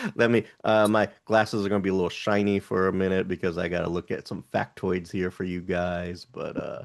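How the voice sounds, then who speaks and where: Against a quiet background, a man with a Texas accent and a very deep, low pitch talks at a fairly quick pace in a monotone, flat intonation with hardly any pauses. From Houston, Texas. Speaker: podcast co-host. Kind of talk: casual chat.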